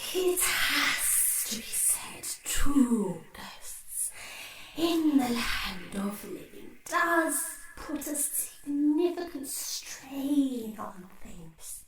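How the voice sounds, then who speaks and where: A put-on character voice, high-pitched and very slow, with a slight echo. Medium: audio drama. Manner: formal, stately, cautious.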